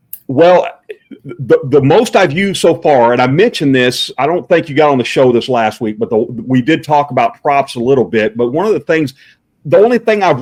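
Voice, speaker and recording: Against a quiet background, a man with a fairly high pitch talks at a moderate pace. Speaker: Santa Claus performer. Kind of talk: casual interview chat. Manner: loud.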